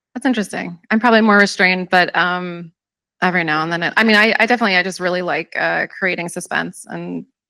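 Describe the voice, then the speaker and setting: A woman's voice sits at a fairly low pitch with a bright, sharp tone and fairly even intonation. The recording is very clean with a silent background, dry and close with no echo. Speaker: horror novelist. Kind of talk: panel discussion. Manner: fast.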